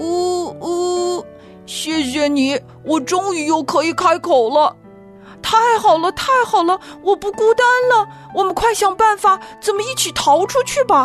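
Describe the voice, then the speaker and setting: A woman uses a put-on character voice at an extremely high pitch while clear music plays in the background. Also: fairly slow pace. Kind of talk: children's bedtime story. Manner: relieved, excited.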